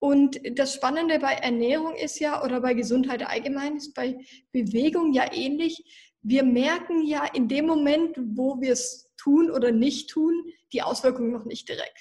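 A woman speaks at a high pitch and a fairly slow pace, with a dark, mellow tone, ordinary pitch variation and hardly any pauses. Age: 20s. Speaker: nutritionist. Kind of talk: interview.

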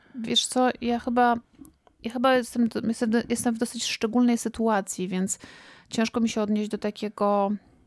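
Long, frequent pauses break up a woman's fairly high-pitched, monotone speech, delivered at a moderate pace with flat intonation in a dry, close sound with no echo. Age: 40s. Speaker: podcast co-host and doctoral student. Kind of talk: casual chat.

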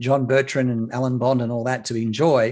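Speaking with an Australian accent, a man talks at a fairly quick pace and medium pitch in a very clean recording with a silent background. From Sydney, Australia (lower north shore). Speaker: broadcaster and journalist. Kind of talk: casual interview.

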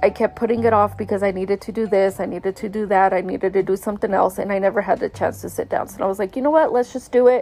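Music plays in the background as a woman at medium pitch talks at a very fast pace with hardly any pauses and fairly even intonation. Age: 30s. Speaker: solo podcaster. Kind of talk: personal monologue. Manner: casual with many filler words.

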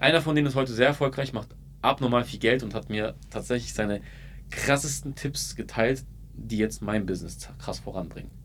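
A man with an ordinary speaking voice, medium in pitch, at a moderate pace with ordinary pitch variation. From Ulm, Baden-Württemberg (Swabia). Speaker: marketing entrepreneur and video creator. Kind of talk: casual interview chat.

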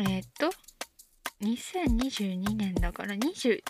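Music plays behind the speaker. She is a woman. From Shizuoka, Japan. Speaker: idol singer. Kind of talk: solo podcast talk. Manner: low-key.

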